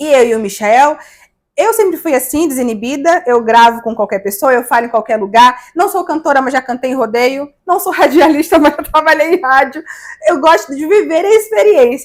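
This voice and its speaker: A northeastern Brazilian accent, very wide pitch swings, and a moderate pace. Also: woman, high pitch for a woman. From Brazil, Maceió, Alagoas (Northeast). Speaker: digital influencer. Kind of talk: interview. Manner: animated.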